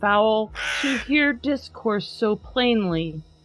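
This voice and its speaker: A woman with a medium pitch delivers her words at a very slow pace. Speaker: podcast host. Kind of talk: dramatic poetry reading.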